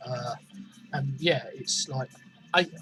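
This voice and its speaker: With music playing behind him, a man speaks at a moderate pace in a fairly high voice. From southern England. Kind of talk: casual talk to camera.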